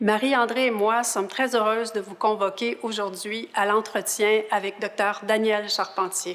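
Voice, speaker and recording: The delivery is monotone and flat in intonation, at a fairly slow pace. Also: woman. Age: 60s. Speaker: patient partner. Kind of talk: interview introduction.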